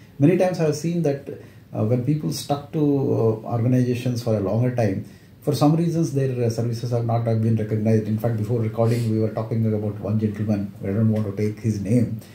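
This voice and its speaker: In an Indian accent, a man talks very fast at a medium pitch with ordinary variation. His dark, mellow tone is somewhat breathy, and room echo can be heard. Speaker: interviewer, retired company secretary. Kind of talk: interview. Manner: hesitant with many fillers.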